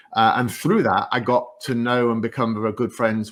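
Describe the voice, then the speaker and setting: A man talks with a northeast English accent. His pace is fairly quick. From northeast England. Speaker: tech executive. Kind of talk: interview. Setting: stage with audience.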